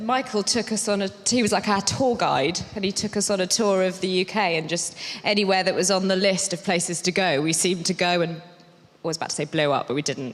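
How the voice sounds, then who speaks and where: At a fairly quick pace, a woman talks in a British accent. Her pitch varies an ordinary amount. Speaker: actor. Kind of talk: casual chat.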